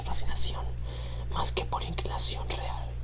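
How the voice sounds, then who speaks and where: Someone whispers while noticeable background noise plays behind them. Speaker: ASMR channel host. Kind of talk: horror story reading. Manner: whispered.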